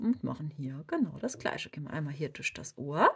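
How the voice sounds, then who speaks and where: A woman talks at a fairly slow pace. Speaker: crochet tutorial creator. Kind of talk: tutorial. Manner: casual, chatty.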